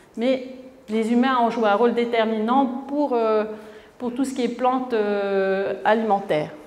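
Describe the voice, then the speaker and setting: Speech comes at a fairly slow pace with fairly even intonation. Long, frequent pauses break it up, and room echo is audible. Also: woman, fairly high pitch for a woman. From French Polynesia (Tahiti); French Polynesia. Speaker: author; conference speaker. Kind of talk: lecture. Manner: halting, many repetitions. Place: hall.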